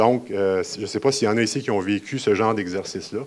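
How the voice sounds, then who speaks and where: A man is speaking. He has a Quebec accent. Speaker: municipal geomatics manager. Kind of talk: conference presentation. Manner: fast.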